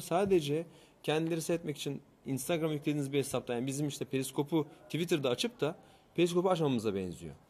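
The man's voice is fairly high in pitch. He talks at a very fast pace. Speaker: tech show co-host. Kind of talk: casual chat. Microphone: new microphone.

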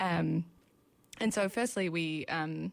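This woman speaks with a New Zealand accent on a very clean recording with a silent background. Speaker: ecology PhD student. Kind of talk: interview. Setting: radio studio. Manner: hesitant, many fillers.

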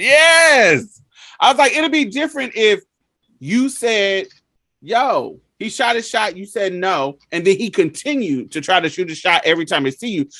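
Bright and sharp in tone, the raised, projected voice swings very widely in pitch. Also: man, high pitch for a man, moderate pace. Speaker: podcast host. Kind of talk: casual chat.

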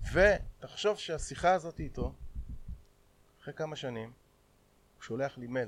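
Delivered at a moderate pace with lively intonation, the speech has big swings in loudness and long, frequent pauses. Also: man, fairly high pitch for a man. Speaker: MMA fighter and event promoter. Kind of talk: casual chat.

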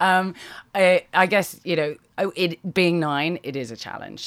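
A woman's voice with ordinary pitch variation. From Britain. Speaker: startup founder. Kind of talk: interview. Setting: on a houseboat.

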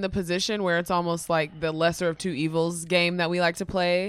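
A woman speaks in a plain, everyday voice at a fairly low pitch. The recording is very clean, with a silent background. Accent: American. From Dallas, Texas. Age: 20s. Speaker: podcaster. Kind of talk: casual chat.

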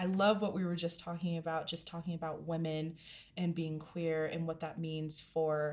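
A woman with a normal speaking voice, fairly low pitch, fairly even intonation and a moderate pace. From Denver, US. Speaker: podcast host. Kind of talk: casual interview chat.

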